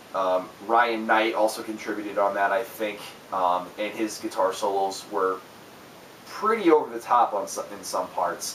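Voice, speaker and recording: Amid noticeable background noise and audible room echo, a man speaks at a fairly slow pace with a fairly low pitch. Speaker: music reviewer. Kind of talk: album review monologue. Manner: halting, many fillers.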